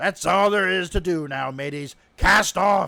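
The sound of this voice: Gruff and raised to project, a put-on character voice speaks at a fairly slow pace. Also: man.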